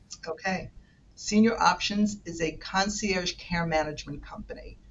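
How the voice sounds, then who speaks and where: A somewhat breathy woman with a strong New York accent speaks at a moderate pace with fairly even intonation. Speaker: senior care manager. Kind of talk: podcast interview. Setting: remote call.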